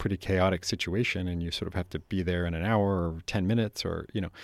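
In a very clean recording with a silent background and a dry, close sound with no echo, a man with an American accent talks at a moderate pace and a fairly low pitch. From San Francisco Bay Area, California. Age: 40s. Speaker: journalist and author. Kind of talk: interview. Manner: casual, with frequent fillers and restarts.

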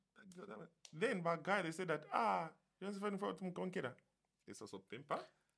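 A man talks at a very fast pace and a high pitch, with very wide pitch swings and big swings in loudness. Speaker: podcast guest. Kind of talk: casual chat. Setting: studio.

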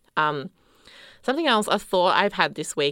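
With an Australian accent, a bright, sharp voice rises and falls in lively intonation on a very clean recording with a silent background. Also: woman. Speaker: podcast host. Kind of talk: casual chat.

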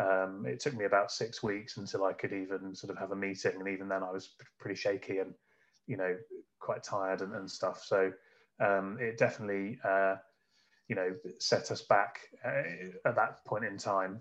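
This is a man with an English Midlands accent. His intonation stays fairly even. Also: fairly low pitch for a man, moderate pace. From England, Northamptonshire (Kettering). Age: 30s. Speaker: business founder. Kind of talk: interview.

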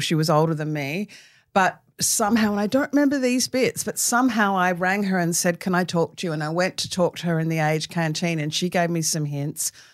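With hardly any pauses, the speaker moves at a fairly quick pace in a very clean recording with a silent background. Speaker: author. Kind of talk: interview. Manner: animated.

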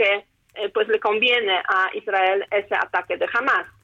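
This is a woman with an ordinary speaking voice. Her intonation stays fairly even. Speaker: international relations professor. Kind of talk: interview.

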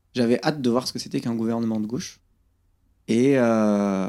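This man talks at a moderate pace with a medium pitch, a dark, mellow tone and ordinary pitch variation. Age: 30s. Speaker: magnetic healer, former train steward. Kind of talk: interview conversation. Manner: hesitant, with fillers and repetitions.

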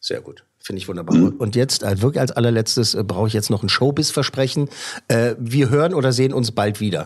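Somewhat breathy, a man talks at a fairly quick pace. His pitch is medium. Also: ordinary pitch variation. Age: 40s. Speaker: film podcast host. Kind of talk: casual chat, interview.

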